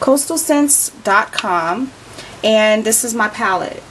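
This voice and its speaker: With noticeable background noise behind her, a woman speaks with lively intonation. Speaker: beauty vlogger. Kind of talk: tutorial.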